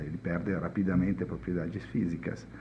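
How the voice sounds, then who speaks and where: A man's very deep, low voice at a moderate pace. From Italy. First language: Italian (speaking Portuguese). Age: 50s. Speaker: chemist. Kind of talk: podcast interview. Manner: halting.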